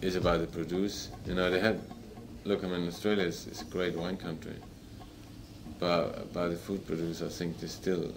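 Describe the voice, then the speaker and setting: A moderate pace with monotone, flat intonation, long, frequent pauses and audible room echo. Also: man, very deep, low pitch for a man. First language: not English. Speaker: chef. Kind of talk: interview. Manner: halting.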